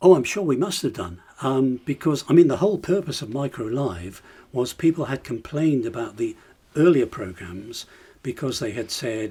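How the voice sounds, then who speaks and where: A man with a dark, mellow tone and a medium pitch, somewhat breathy, with very wide pitch swings, in a very clean recording over a silent background. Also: moderate pace. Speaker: retired TV presenter. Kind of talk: interview reminiscence. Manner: animated.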